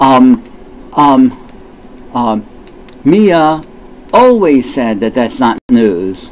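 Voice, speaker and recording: Speaking at a very slow pace with long, frequent pauses, a man with a medium pitch uses lively intonation. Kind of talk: casual commentary to camera. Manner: halting, stammering, many fillers.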